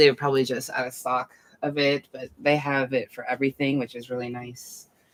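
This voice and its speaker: A soft-spoken woman mumbles at a very fast pace with a very deep, low pitch and a monotone, flat intonation, her loudness swinging widely. The sound is dry and close with no echo. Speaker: mental health vlogger. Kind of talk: casual livestream talk. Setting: home night stream. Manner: mumbling. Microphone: far from the mic.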